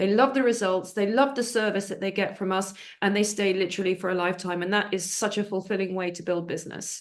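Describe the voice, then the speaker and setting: In an unremarkable speaking voice, a woman talks at a fairly quick pace with a medium pitch and ordinary pitch variation. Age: 60s. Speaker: network marketing business owner. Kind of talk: business presentation.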